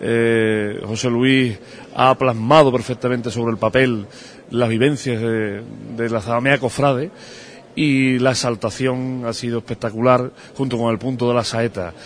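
Fairly slow male speech over noticeable background noise. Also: medium pitch for a man, fairly even intonation. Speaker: religious brotherhood leader. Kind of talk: interview and formal speech. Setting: parish church.

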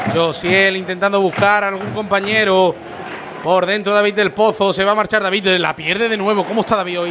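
A man with a high pitch sounds animated and excited, talking at a fairly quick pace. Noticeable background noise runs underneath. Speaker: radio football commentator. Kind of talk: live football commentary. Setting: stadium press box, radio broadcast. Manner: fast, rapid-fire play-by-play; animated, excited.

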